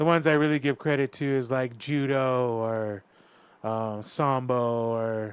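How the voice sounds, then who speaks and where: A man with an American accent and an unremarkable speaking voice talks at a fairly slow pace, medium in pitch and fairly even in intonation. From US, Northern Cheyenne reservation, Montana. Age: 20s. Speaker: mixed martial arts fighter. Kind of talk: casual chat.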